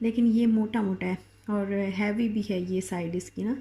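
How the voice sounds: Speaking at a fairly slow pace, a woman has a medium-pitched, dark, mellow voice with a slightly husky edge.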